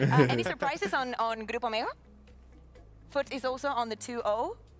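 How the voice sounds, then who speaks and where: A woman talks at a fairly quick pace in a high voice with ordinary pitch variation. Her speech is broken by long, frequent pauses. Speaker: esports desk host. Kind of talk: post-match interview.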